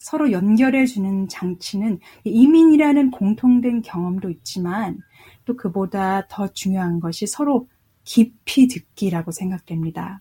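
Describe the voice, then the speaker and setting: Fairly slow, somewhat breathy speech with lively intonation and a dark, mellow tone, on a very clean recording with a silent background. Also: woman, medium pitch for a woman. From South Korea. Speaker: jazz vocalist and professor. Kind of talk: interview. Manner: halting, many fillers.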